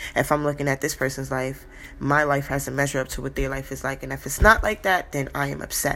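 Talking at a very fast pace, a woman with a very deep, low pitch has a bright, sharp tone, vocal fry and fairly even intonation. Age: 20s. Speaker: podcast host. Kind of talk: casual monologue.

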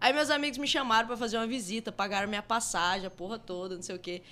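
A woman speaks at a very fast pace in a bright, sharp tone. The recording is very clean, with a silent background. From Mato Grosso, Brazil (Rondonópolis). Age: 30s. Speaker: advertising professional and crypto investor. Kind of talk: casual chat.

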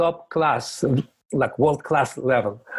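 A man speaks with a Russian accent at a fairly slow pace. His pitch shows ordinary variation. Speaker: sports scientist. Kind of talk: interview.

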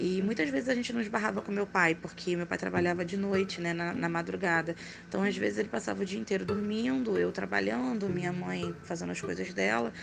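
Over music in the background, a woman talks at a fairly quick pace with hardly any pauses, her pitch swinging very widely. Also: fairly low pitch for a woman. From Rio de Janeiro, Brazil. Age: 30s. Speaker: teacher and makeup artist telling supernatural stories. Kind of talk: personal storytelling.

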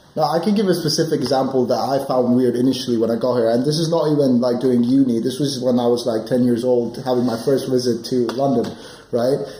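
A man speaks very fast at a medium pitch, his loudness very even and his intonation fairly even, over noticeable background noise. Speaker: podcast co-host, university student. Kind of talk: casual chat. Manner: fast talker.

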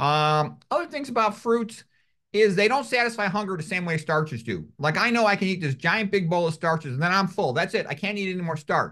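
A man projects a raised voice with a bright, sharp tone, high pitch and lively intonation. He moves at a fairly quick pace over a quiet background. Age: 60s. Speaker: medical doctor. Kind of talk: interview.

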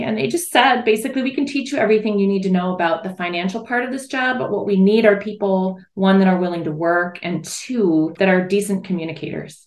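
Speaking in a normal speaking voice, a woman with an American accent has a medium pitch. Her intonation is lively. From US Midwest, Michigan's Upper Peninsula. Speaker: mother of athletes. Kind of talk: interview conversation.

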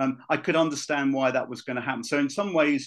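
A man with a southern English accent speaks in a fairly high pitch and fairly even intonation against a quiet background. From Luton, England. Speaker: former football club official. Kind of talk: casual chat. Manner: halting.

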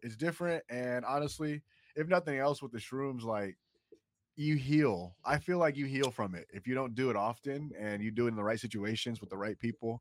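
With an American accent, a man talks in an unremarkable speaking voice at medium pitch with ordinary pitch variation, the sound dry and close with no echo on a very clean recording over a silent background. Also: fairly quick pace. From US Midwest (Columbus, Ohio). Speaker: guest, former dispensary worker. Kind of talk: casual chat.

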